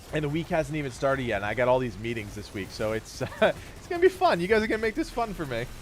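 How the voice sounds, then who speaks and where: A man's fairly high voice at a very fast pace, with very wide pitch swings and hardly any pauses. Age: 30s. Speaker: gaming streamer. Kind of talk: casual livestream chat. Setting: livestream.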